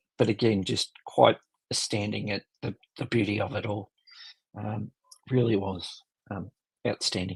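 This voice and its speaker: In a put-on character voice, raspy and monotone, the speaker moves at a moderate pace with long, frequent pauses, recorded dry and close with no echo. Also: man, fairly low pitch for a man. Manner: sincere, awed.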